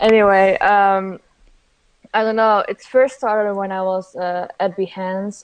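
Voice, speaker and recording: A woman speaks at a fairly slow pace and a medium pitch, her intonation monotone and flat. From Netherlands. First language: Dutch. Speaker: graphic designer and illustrator. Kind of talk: interview.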